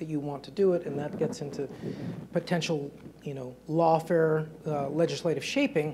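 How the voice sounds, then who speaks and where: Light background noise accompanies a man speaking with fairly even intonation. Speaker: panelist. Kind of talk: panel discussion answer. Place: hall. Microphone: lapel.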